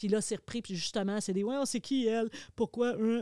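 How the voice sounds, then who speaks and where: The voice has a Quebec accent, a dark, mellow tone and a moderate pace. The recording is very clean and silent in the background, with a dry, close sound and no echo. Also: woman. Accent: Québécois French. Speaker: television host. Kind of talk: casual chat.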